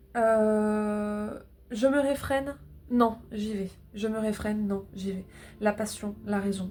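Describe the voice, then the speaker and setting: With a northern French accent, the voice is somewhat breathy, with fairly even intonation, a very slow pace, and long, frequent pauses. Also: woman, fairly high pitch for a woman. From northern France. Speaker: tarot reader. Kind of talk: tarot reading. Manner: halting, many filler sounds.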